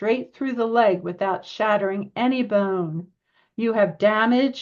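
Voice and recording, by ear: Against a quiet background, reading aloud in a natural voice shows ordinary pitch variation.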